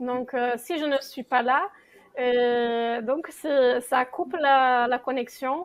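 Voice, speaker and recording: Speaking at a very slow pace, a woman uses a high pitch and fairly even intonation. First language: not French (speaking French). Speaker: association founder and circle leader. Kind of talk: talk-show interview. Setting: studio. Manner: hesitant, many fillers.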